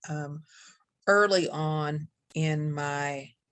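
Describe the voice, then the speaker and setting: A woman with a very deep, low pitch speaks in a monotone, flat way. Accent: Appalachian. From Kentucky Appalachia. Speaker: poet. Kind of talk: poetry reading. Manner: hesitant.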